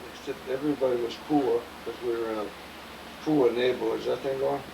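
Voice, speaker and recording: A fairly quick pace in an American accent, ordinary pitch variation, long and frequent pauses, and noticeable background noise. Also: man. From Massachusetts (Cambridge, Boston area). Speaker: elderly father interviewed about memories. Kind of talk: family interview, reminiscing. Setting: home apartment, video recording.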